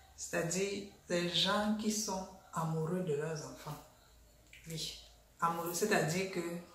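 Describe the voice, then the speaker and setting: A woman speaks in a fairly low pitch with ordinary pitch variation. The room echo is audible, and there is light background noise. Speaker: vlogger. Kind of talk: casual vlog chat. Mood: annoyed, mocking. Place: home room.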